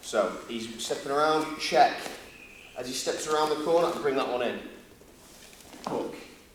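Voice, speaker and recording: Amid noticeable background noise and audible room echo, a man with a Yorkshire accent and a fairly high pitch talks at a moderate pace. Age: 30s. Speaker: grappling instructor. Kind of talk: seminar instruction. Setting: gym.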